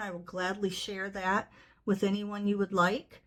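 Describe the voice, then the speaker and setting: A woman with an American accent and a bright, sharp tone. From US Midwest, northwest Ohio. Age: 60s. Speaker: nonprofit fundraiser. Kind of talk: casual fundraising appeal to camera. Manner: conversational with fillers.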